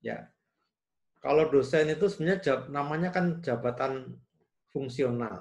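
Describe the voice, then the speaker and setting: Against a quiet background, a somewhat breathy man with a fairly high voice talks at a moderate pace with ordinary pitch variation. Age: 60s. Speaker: engineering professor. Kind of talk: interview. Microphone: video call.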